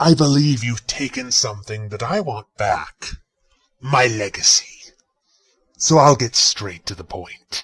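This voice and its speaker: In a put-on character voice at medium pitch, a man talks at a fairly slow pace with lively intonation and long, frequent pauses. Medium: audio drama. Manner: cold and menacing.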